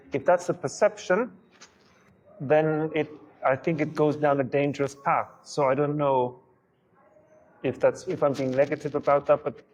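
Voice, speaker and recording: This man speaks with a German accent. His fairly high pitch shows ordinary variation. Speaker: literary translator. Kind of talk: discussion with audience. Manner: halting, repeats words.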